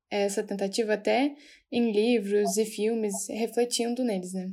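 Speaking at a fairly slow pace, a woman has a dark, mellow tone, a fairly high pitch and monotone, flat intonation. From Rio Grande do Sul, Brazil (Osório). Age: 20s. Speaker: psychology student, podcast co-host. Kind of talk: casual chat. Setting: remote recording.

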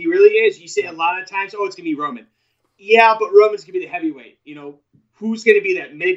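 In an American accent, a man rattles along at a very fast pace with a high pitch, lively intonation and big swings in loudness. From New York. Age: 30s. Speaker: wrestling podcaster. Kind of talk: casual chat. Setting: live stream.

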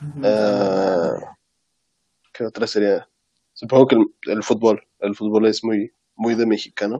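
A man's fairly low pitch and dark, mellow tone at a very slow pace, with fairly even intonation, long, frequent pauses, and a dry, close sound with no echo. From Mexico, Oaxaca. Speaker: podcast co-host. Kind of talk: casual chat.

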